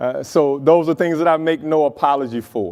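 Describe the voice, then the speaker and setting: A man talks at a fairly high pitch. His tone is animated. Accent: Southern US. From US South, Mississippi. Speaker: city mayor. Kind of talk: keynote speech. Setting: stage with audience.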